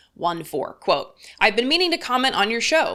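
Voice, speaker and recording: A woman's bright, sharp tone comes through in a very clean recording with a silent background. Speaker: political commentator. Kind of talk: commentary reading viewer comments. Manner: sing-songy, rising at ends of words.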